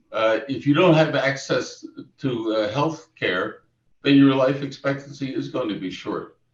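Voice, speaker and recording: This man talks with a fairly high pitch, ordinary pitch variation and some vocal fry. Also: fairly slow pace. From US, Lancaster, Pennsylvania. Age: 80s+. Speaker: retired professor. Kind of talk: panel discussion. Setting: video call. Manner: halting.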